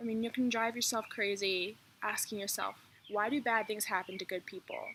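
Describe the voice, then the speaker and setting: A woman speaks at a fairly quick pace in a plain, everyday voice. Her pitch sits fairly high, with ordinary variation. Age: young. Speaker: chronic illness vlogger. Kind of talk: casual talk to camera.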